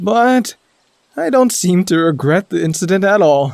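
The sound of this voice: A man does a put-on character voice, high-pitched with vocal fry and a slightly mellow tone. His intonation is lively and his pace fairly slow.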